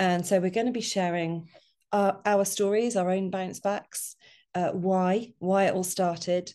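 The voice has a dark, mellow tone. Its pace is fairly slow. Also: woman. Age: 50s. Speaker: podcast co-host and publisher. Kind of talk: casual chat. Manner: animated.

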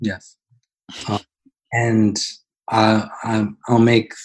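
A man's somewhat breathy voice on a very clean recording with a silent background. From US Midwest, Wisconsin. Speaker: CNC machinist and software consultant. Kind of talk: interview with screen-share walkthrough.

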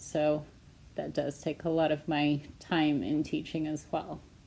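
A woman speaks with a Pacific Northwest accent. Her pace is very slow and her tone dark and mellow. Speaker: elementary school teacher. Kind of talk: interview. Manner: hesitant, many fillers.

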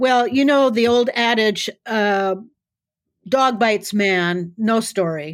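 Speaking very slowly with an American accent, a woman uses a fairly high pitch and ordinary pitch variation, her loudness very even on a very clean recording with a silent background. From US Midwest, South Dakota. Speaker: author and self-defense teacher. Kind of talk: interview conversation.

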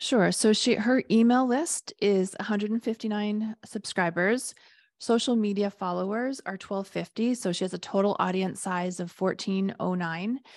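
A woman speaks in a plain, everyday voice at a medium pitch and moderate pace. The background is quiet. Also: ordinary pitch variation. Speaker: podcast host and business coach. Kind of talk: casual business discussion.

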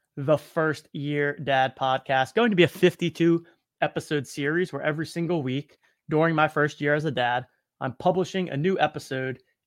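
At a moderate pace, the voice moves with ordinary rises and falls in pitch. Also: man, dry, close sound with no echo. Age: 30s. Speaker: podcast host, new father, startup founder. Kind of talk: solo podcast monologue. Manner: upbeat, energetic.

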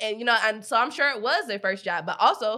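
With an American accent, a woman of medium pitch speaks in a bright, sharp tone with ordinary pitch variation. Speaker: podcast host. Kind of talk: casual chat, podcast banter. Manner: casual, profane, talkative.

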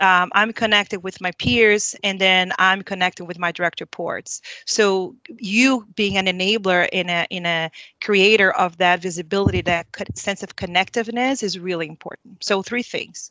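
A woman with a non-native accent speaks at a moderate pace with fairly even intonation. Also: medium pitch for a woman. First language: not English. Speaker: leadership consultant. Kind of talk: panel discussion.

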